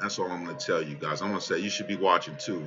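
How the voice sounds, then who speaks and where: A man's voice with music in the background. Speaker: crypto trading youtuber. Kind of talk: market analysis screen-share commentary. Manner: casual, filler-heavy.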